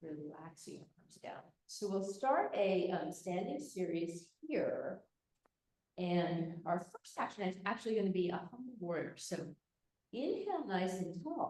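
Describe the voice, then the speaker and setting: A somewhat breathy voice at a fairly slow pace, with lively intonation and big swings in loudness. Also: woman, medium pitch for a woman. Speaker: yoga teacher. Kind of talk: live yoga class instruction. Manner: hesitant, with fillers.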